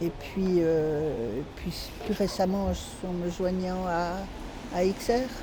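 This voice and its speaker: A woman's fairly low voice at a very slow pace, with long, frequent pauses and audible room echo. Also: ordinary pitch variation. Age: 70s. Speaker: climate activist. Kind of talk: interview. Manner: halting.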